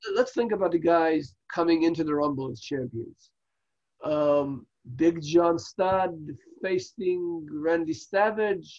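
In an Israeli accent, a man speaks at a very slow pace. His voice sits high in pitch. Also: ordinary pitch variation. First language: Hebrew. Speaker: wrestling podcast co-host. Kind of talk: casual review chat. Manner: halting, many fillers.

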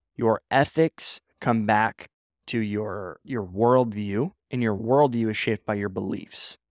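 With an American accent, a man at medium pitch speaks very slowly with ordinary pitch variation, the sound dry and close with no echo on a very clean recording with a silent background. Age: 20s. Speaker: entrepreneur and podcast host. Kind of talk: casual solo monologue. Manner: animated; halting.

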